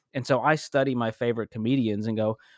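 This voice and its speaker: An American-accented man speaks in an animated tone at a fairly quick pace, captured in a very clean, dry, close recording with no echo and a silent background. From suburban Boston, Massachusetts. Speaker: comedian and podcast/video host. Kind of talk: casual interview chat. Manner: animated, jokey.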